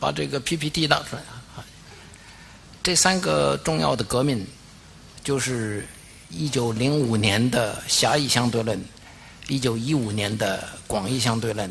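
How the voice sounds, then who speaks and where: Over noticeable background noise, a man with a medium-pitched voice talks at a fairly slow pace, leaving long, frequent pauses and swinging very widely in pitch. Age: 80s+. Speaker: physicist, Nobel laureate. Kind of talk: academic lecture.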